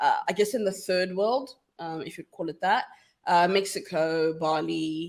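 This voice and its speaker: A woman with a South African accent talks at a fairly slow pace in a medium pitch, with ordinary pitch variation and big swings in loudness. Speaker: feminist scholar and activist. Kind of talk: casual interview chat. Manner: animated.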